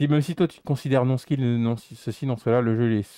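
A man with a dark, mellow tone speaks over a quiet background, the sound dry with no echo. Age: 40s. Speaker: retro gamer; DIY streamer repairing controller. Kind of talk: casual chat. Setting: live stream. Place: workshop.

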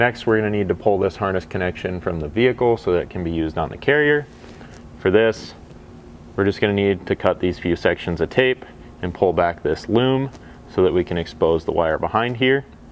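A plain, everyday voice moves at a fairly quick pace over light background noise. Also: man, fairly low pitch for a man. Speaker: installer demonstrating a product. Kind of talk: tutorial. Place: garage.

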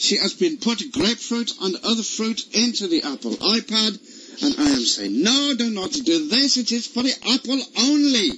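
This put-on character voice uses an Italian accent as part of the act, with a bright, sharp tone, big pitch swings, and a moderate pace. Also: man, high pitch for a man.

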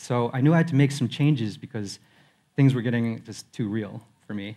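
Against a quiet background, a man with an American accent speaks at a fairly quick pace. His pitch is medium, with ordinary variation. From Queens, New York. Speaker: senior music producer at a security company, former music video director. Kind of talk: conference talk, personal story. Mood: reflective, personal. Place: stage. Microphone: headset.

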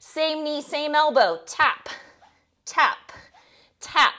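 A woman uses a raised, projected voice with an energetic, bright, sharp tone. The background is quiet. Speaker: fitness instructor. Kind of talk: guided workout class. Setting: home video. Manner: encouraging, energetic. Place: home room.

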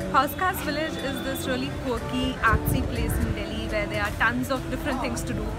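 Loud music plays in the background as a woman talks at a fairly quick pace. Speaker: travel vlogger. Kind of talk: casual vlog chat. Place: street. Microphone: phone near.

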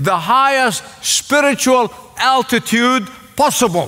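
A man's raised, projected voice. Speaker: preacher. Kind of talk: sermon. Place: church. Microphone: headset.

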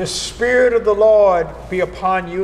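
A man with a high-pitched voice speaks at a moderate pace while noticeable background noise plays behind him. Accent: American. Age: 60s. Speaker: pastor. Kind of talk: sermon. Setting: church.

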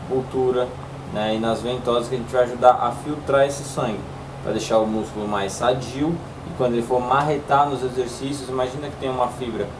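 A man's fairly even intonation is heard with noticeable background noise around it. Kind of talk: explanatory talk to camera. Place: shop. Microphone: camera far.

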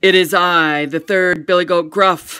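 This is a put-on character voice at a middle pitch. It is raised and projected, delivered at a moderate pace.

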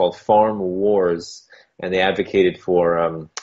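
Over a quiet background, a man speaks with a very deep, low pitch and fairly even intonation. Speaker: interview guest. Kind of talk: interview answer. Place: home room. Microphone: video call.

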